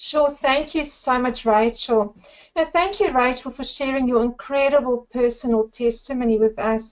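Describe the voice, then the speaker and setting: This woman speaks with a South African accent. Her pitch is high. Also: ordinary pitch variation, moderate pace. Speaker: network marketer. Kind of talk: webinar presentation. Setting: webinar.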